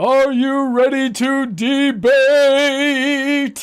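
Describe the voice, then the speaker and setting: High in pitch, the voice is a put-on character voice. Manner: hyped-up, booming announcer delivery.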